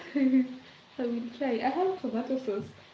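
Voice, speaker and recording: In a Kenyan accent, the speaker talks at a moderate pace with ordinary pitch variation amid noticeable background noise. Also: woman. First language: Swahili or other Kenyan language. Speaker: livestreamer. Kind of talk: casual chat. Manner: relaxed, chatty with fillers.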